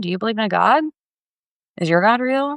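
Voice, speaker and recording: Fairly quick and with very wide pitch swings, a woman speaks in an American accent. The sound is dry and close, with no echo. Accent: Floridian accent, comes out at times. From Florida. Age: 30s. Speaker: tarot reader livestreamer. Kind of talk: livestream tarot readings with chat. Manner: casual, chatty.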